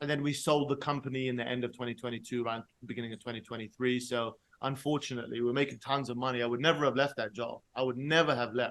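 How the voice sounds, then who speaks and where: Talking at a very fast pace with hardly any pauses, a man with a London accent uses a medium pitch. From London, England. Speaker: sales expert. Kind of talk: podcast interview. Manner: animated.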